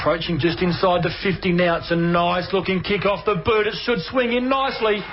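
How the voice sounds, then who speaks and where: Over background music, a man with a high voice talks in an animated tone at a fairly quick pace, hardly pausing at all. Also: ordinary pitch variation. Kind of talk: sports commentary. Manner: animated, rapid-fire play-by-play.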